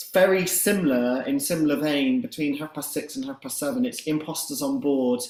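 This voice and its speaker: A man's fairly high voice, fairly quick with hardly any pauses and lively intonation, over noticeable background noise. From northern England, Grimsby. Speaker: event organiser. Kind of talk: event wrap-up announcement.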